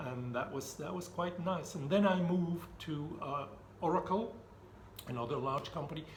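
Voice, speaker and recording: The speech moves at a moderate pace with long, frequent pauses and ordinary pitch variation. Noticeable background noise and audible room echo come through. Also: man, fairly high pitch for a man. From Belgium. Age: 60s. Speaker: retired IT director. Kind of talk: casual interview.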